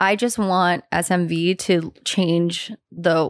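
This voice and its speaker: An unremarkable speaking voice with an American accent and fairly even intonation comes through in a very clean recording with a silent background and a dry, close sound with no echo. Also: woman. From US West Coast, San Francisco. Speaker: fashion designer. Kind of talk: casual chat.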